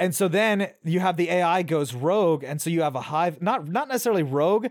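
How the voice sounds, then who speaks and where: In a very clean recording with a silent background, a high-pitched man speaks fairly quickly in an animated tone with lively intonation. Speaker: tabletop gaming podcast host. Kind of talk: casual banter chat. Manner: sarcastic, animated.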